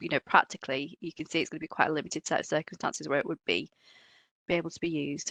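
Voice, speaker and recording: Against a quiet background, a woman speaks very fast in a very deep, low voice, the sound dry and close with no echo. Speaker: procurement lawyer. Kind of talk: webinar presentation. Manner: hesitant with many fillers.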